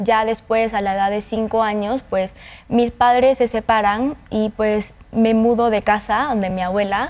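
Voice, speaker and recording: A woman with a normal speaking voice talks at a fairly slow pace. Her pitch is fairly high and her intonation fairly even. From Honduras. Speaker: cochlear implant user, volunteer. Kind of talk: interview testimony. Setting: studio.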